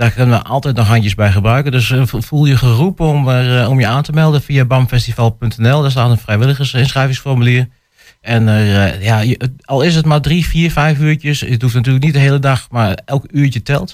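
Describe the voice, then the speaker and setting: A man speaks at a medium pitch and a moderate pace. His pitch varies in an ordinary way while his loudness stays very even. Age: 20s. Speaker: festival organizer. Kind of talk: radio interview. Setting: radio studio. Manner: hesitant, many filler sounds.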